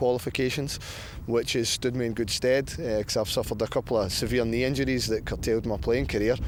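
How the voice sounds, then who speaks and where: A man with a medium pitch, fairly even intonation, and a fairly quick pace. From Scotland, Glasgow. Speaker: football coach. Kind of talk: interview.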